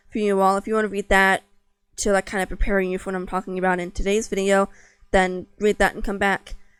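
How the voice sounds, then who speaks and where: Monotone, flat intonation from a woman, with music in the background. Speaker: author. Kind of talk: casual talk to camera. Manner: unscripted, hesitant.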